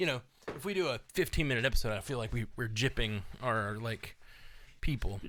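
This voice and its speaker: With a slight Southern US accent, a man at medium pitch speaks with lively intonation and a bright, sharp tone on a very clean recording with a silent background. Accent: slight Southern drawl. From US South. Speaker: podcast co-host. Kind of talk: casual chat. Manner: halting.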